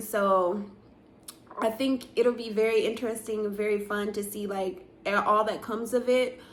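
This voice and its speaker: Her voice carries a fairly high pitch. There is audible echo from the room around the woman. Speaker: vlogger in a tech career. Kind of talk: casual vlog monologue. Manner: slow; many filler words.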